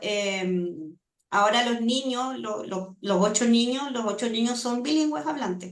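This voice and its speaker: Audible room echo surrounds a woman speaking at a high pitch and a fairly slow pace, with ordinary pitch variation. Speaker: language acquisition researcher. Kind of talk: seminar Q&A answer.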